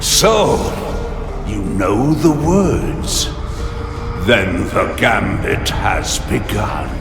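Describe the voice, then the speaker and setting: Amid loud background noise and clear echo, a man delivers a put-on character voice at a very slow pace. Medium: machinima. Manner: condescending, aloof.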